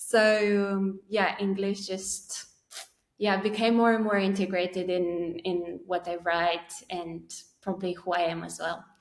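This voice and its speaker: With a Romanian accent, a woman at medium pitch speaks in a monotone, flat intonation at a fairly slow pace. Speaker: poet. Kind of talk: interview conversation. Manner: halting.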